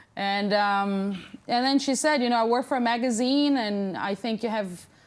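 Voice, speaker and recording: A woman's fairly high voice at a fairly slow pace, with fairly even intonation. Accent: Portuguese. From Brazil (Amazon region). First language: Portuguese. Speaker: plus-size model. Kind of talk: talk show interview.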